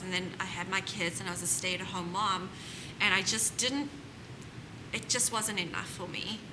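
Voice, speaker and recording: Over noticeable background noise and audible room echo, a woman speaks at a fairly quick pace in a medium pitch with ordinary pitch variation. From South Africa. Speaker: home staging business owner. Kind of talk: panel interview.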